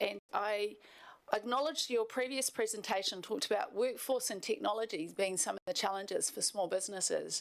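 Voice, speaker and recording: Here is a woman with a New Zealand accent. She talks at a fairly quick pace. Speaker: health service manager presenting to council. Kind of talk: formal presentation. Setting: council meeting chamber.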